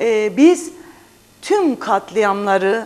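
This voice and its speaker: A woman with a fairly high pitch. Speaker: parliamentary candidate and journalist. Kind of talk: TV interview. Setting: studio. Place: studio. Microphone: lapel.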